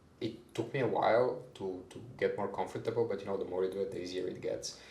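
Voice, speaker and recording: A man rattles off his words at a very fast pace amid noticeable background noise and audible room echo. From Bulgaria. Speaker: HR manager. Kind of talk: podcast interview. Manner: hesitant, many fillers and repeats.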